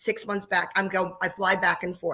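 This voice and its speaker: Bright and sharp in tone, a woman's voice comes through. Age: 60s. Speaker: dance studio owner. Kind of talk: live panel talk.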